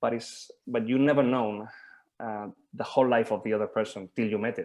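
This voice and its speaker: In a Spanish accent, a man speaks fairly quickly with fairly even intonation over a quiet background. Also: medium pitch for a man. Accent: Spanish accent, obvious. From Spain. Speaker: mentor and supervisor. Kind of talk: group discussion on video call. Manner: halting, many fillers and repetitions.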